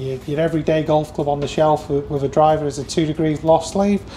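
Over light background noise, a man talks at a fairly quick pace in a monotone, flat intonation. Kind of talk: guided tour explanation. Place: workshop. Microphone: lapel.

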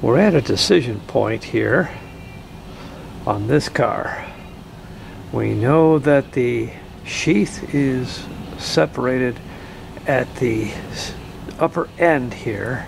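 Over light background noise, a man speaks at a very slow pace with long, frequent pauses. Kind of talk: tutorial. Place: car. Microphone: phone near.

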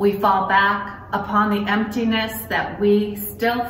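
A woman speaks at a very slow pace. Light background noise and audible room echo surround her. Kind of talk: sermon. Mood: calm, reflective. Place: church. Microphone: phone near.

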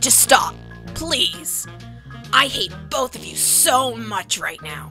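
Clear music plays in the background as a put-on character voice speaks at a very slow pace. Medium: audio drama. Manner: annoyed, exasperated.

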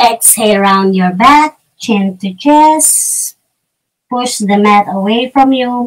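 A woman with a Filipino accent, fairly high in pitch, with lively intonation and a very slow pace, against a quiet background. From Philippines. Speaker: yoga teacher. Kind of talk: guided yoga instruction. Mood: calm, guiding. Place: home room. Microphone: camera far.

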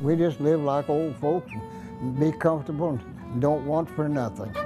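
With clear music in the background, a man with an American accent and a fairly high pitch talks at a fairly slow pace with ordinary pitch variation. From Kansas. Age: 80s+. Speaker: old-time fiddle player. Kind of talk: interview answer. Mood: calm, reflective. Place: home room.

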